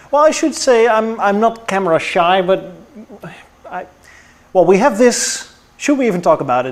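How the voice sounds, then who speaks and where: With a non-native accent, a man speaks at a moderate pace with very wide pitch swings as noticeable background noise runs behind him. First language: not English. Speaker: car YouTuber. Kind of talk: casual chat. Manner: halting.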